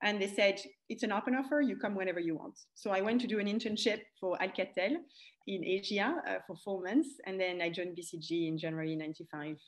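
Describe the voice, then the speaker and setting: The speaker has a French accent and lively intonation. The pace is very fast. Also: woman, medium pitch for a woman. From France. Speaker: e-commerce expert and coach. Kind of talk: interview.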